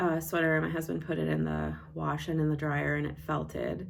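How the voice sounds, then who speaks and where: The pace is moderate. There is audible room echo. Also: woman. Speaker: knitting vlogger and yarn dyer. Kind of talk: casual chat. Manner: loud.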